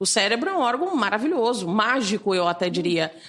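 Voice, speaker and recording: Someone female, a woman, talks at a moderate pace. Her pitch swings very widely. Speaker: teacher and cognitive neuroscientist. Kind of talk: interview.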